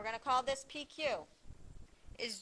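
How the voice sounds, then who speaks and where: High, bright and sharp, a woman's raised and projected voice. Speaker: math teacher. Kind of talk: lecture.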